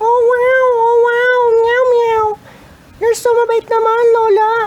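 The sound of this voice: At a very slow pace, a man uses a put-on character voice with an extremely high pitch and monotone, flat intonation.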